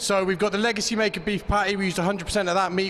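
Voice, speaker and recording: A man rattles off words at a very fast pace while noticeable background noise carries on. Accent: British. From Great Britain. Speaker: competition chef. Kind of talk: dish presentation to judges.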